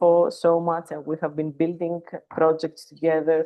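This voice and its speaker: At a fairly slow pace, a woman with a non-native accent speaks with a fairly low pitch. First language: not English. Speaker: plant science consultant. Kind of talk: webinar talk. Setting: video call from a conference venue.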